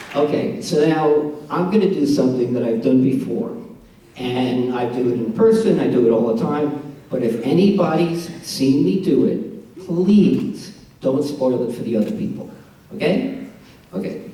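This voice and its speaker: A man with a New York accent speaks at a moderate pace, his fairly high voice swinging very widely in pitch. Noticeable background noise and audible room echo surround him. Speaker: comedian. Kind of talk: stand-up.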